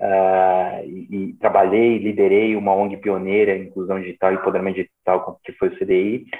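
A man talks with flat, monotone intonation and big swings in loudness, leaving hardly any pauses. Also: moderate pace. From São Paulo, Brazil. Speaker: social entrepreneur. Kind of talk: interview.

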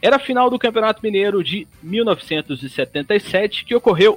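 Here a man speaks at a high pitch with lively intonation. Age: 20s. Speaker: sports commentator. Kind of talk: live radio sports talk.

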